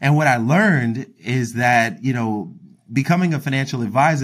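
With an American accent, a man in a plain, everyday voice talks at a fairly quick pace, medium pitch and lively intonation, on a very clean recording with a silent background. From Philadelphia, US. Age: 30s. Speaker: wealth advisor. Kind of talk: casual interview chat.

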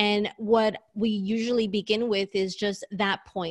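In a New York accent, a woman speaks at a medium pitch with a dry, close sound and no echo. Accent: New York American. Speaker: career strategist. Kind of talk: casual interview.

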